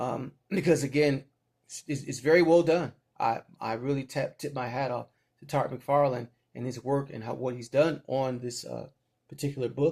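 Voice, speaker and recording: A man's fairly high, somewhat breathy voice at a moderate pace, with fairly even intonation and big swings in loudness. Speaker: comic book reviewer. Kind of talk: casual review. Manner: halting, many fillers.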